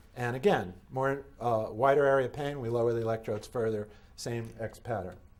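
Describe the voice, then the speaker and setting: In audible room echo, a man talks at a fairly quick pace. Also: medium pitch for a man, ordinary pitch variation. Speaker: medical device inventor and lecturer. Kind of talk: conference lecture. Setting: conference hall with audience. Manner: fast.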